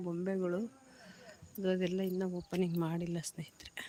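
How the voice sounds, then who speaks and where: This woman has a medium pitch. Her tone is dark and mellow. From Karnataka village. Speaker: lifestyle vlogger. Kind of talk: casual live vlog walkthrough. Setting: outdoors.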